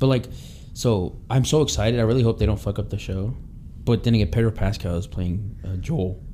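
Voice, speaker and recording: Speaking at a fairly quick pace, a man uses a fairly low pitch with ordinary pitch variation. He has a plain, everyday voice. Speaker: podcast host. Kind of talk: casual banter podcast. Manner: joking, laid-back.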